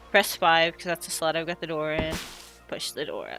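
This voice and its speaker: The tone is relaxed, with music in the background. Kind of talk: video game tutorial narration. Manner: casual, relaxed.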